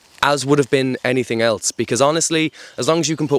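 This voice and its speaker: With an Irish accent, a man talks at a very fast pace in fairly even intonation. The sound is dry and close, with no echo. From Ireland. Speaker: outdoor adventure vlogger. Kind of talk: casual monologue to camera. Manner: conversational, filler-heavy.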